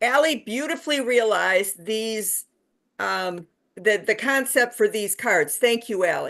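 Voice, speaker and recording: A woman with a fairly high pitch and ordinary pitch variation speaks over a quiet background. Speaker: anti-death penalty activist, board treasurer. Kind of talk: casual talk on a video call. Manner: fast.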